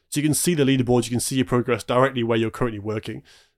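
A man talks at a medium pitch, his intonation fairly even. The recording is very clean and the background silent. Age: 20s. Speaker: tech startup founder and CEO. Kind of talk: interview.

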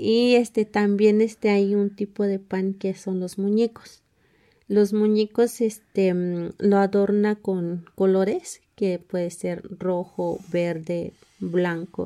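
A woman's very slow, medium-pitched voice with a dark, mellow tone and monotone, flat intonation. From Mexico, Sierra of Hidalgo (Huehuetla). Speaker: book author, community member. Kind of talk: interview. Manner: hesitant, many fillers.

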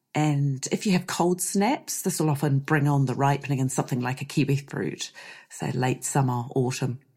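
Speaking at a moderate pace with a New Zealand accent, a woman has a very deep, low pitch with ordinary pitch variation and a dark, mellow, somewhat breathy tone. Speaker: podcast host and avocado orchard grower. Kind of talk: solo podcast monologue.

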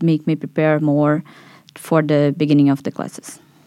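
In a Portuguese accent, a woman speaks at a moderate pace with a very deep, low pitch and a dark, mellow tone. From Brazil. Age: 20s. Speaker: master's student. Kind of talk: casual interview.

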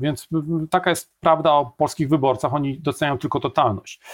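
A very fast-talking man with ordinary pitch variation, on a very clean recording with a silent background. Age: 50s. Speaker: political scientist. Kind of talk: interview.

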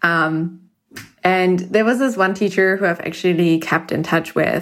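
A woman with a non-native accent, fairly low-pitched, at a fairly slow pace with fairly even intonation. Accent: foreign-accented English. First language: not English. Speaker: podcast listener. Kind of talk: recorded voice message. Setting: voice memo recording.

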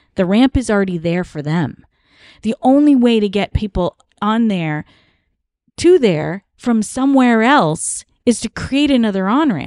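A woman's fairly high voice with an American accent, very wide pitch swings and a fairly slow pace, dry and close with no echo over a quiet background. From US East Coast. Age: 40s. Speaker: podcast host, cult survivor. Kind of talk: casual chat.

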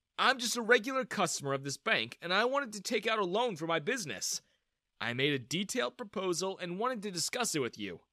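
Putting on a character voice, a man speaks high and fairly quickly with a bright, sharp tone and big pitch swings.

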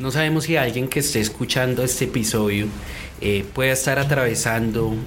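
A man talks at a moderate speed, and audible echo from the room surrounds his voice. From Colombia. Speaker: podcast host. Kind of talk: interview.

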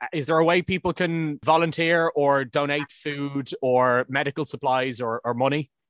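A man with an Irish accent speaks at a moderate pace with hardly any pauses. His pitch is fairly high and his intonation fairly even. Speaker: podcast host. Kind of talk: interview.

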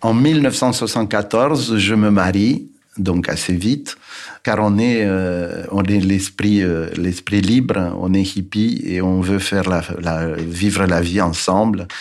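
A man's fairly low voice at a very slow pace, with ordinary pitch variation and very even loudness. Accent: Romanian. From Romania, Bucharest. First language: Romanian (speaking French). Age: 70s. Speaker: architect. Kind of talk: testimony. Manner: halting.

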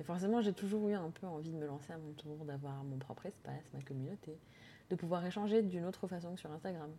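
This voice has a dark, mellow tone, a very fast pace, ordinary pitch variation and big swings in loudness. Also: woman, fairly low pitch for a woman. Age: 30s. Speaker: podcast host. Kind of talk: solo podcast monologue.

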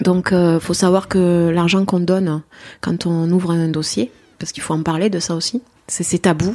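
Speaking at a moderate pace, a woman with a fairly low voice keeps her intonation fairly even. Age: 40s. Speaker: adoptive mother. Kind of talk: interview testimony. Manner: halting.

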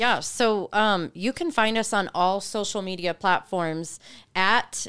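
A woman in an unremarkable speaking voice talks fairly slowly at medium pitch with ordinary pitch variation. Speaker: marriage ministry speaker. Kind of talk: casual interview conversation.

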